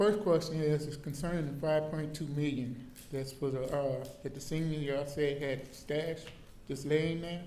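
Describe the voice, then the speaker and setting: A man's fairly high-pitched voice with monotone, flat intonation at a moderate pace, with audible room echo. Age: 70s. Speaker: public commenter. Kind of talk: public comment. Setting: council meeting podium.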